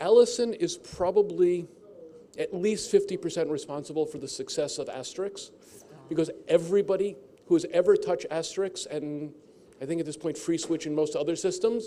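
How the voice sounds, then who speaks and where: A man with a high pitch and dark, mellow tone at a fairly quick pace, ordinary pitch variation and big swings in loudness. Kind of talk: conference host introduction.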